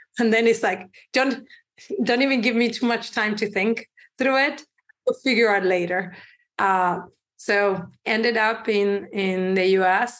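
Long, frequent pauses break up this woman's speech. She has a Spanish accent and fairly even intonation. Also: very even loudness. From Uruguay. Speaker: tech company CEO. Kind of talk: interview.

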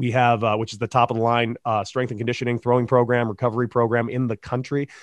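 Against a quiet background, a man with an American accent talks very fast at medium pitch in a monotone, flat intonation, with a dry, close sound and no echo. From Southern California (Santa Monica, Los Angeles). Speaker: former professional baseball player and coach. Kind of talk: casual interview.

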